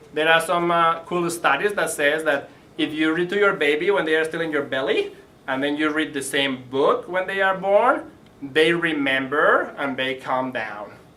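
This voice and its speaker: A man with a Spanish accent speaks at a moderate pace with ordinary pitch variation, over noticeable background noise and audible room echo. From Spain. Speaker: library early learning educator. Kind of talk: presentation to parents. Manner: casual, conversational.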